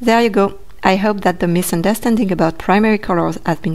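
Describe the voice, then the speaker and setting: A woman with a French accent talks at a moderate pace with fairly even intonation. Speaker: art educator. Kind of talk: educational talk to camera.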